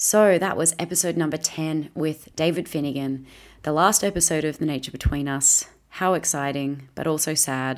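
A woman with an Australian accent, very deep and low in pitch, fairly even intonation at a moderate pace, on a very clean recording with a silent background. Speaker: podcast host. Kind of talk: scripted intro and outro; casual interview.

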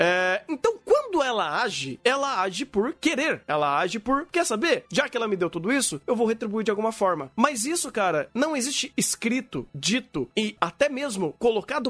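The pitch swings very widely, with hardly any pauses. The recording is very clean, with a silent background. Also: man. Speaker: podcast host. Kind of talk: casual chat. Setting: live stream.

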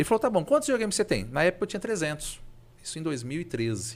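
The recording is very clean, with a silent background. A man speaks at a very fast pace in a high pitch with very wide pitch swings. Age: 40s. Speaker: video game collector. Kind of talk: casual chat.

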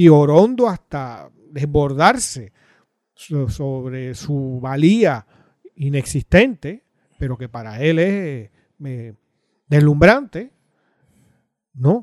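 Heard in a dry, close sound with no echo, a man speaks at a very slow pace with a fairly high pitch and lively intonation. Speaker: political podcast co-host. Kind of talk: political commentary chat.

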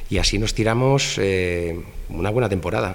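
A man talks with ordinary pitch variation. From Spain, Madrid. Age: 40s. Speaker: fashion photographer. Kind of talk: casual interview.

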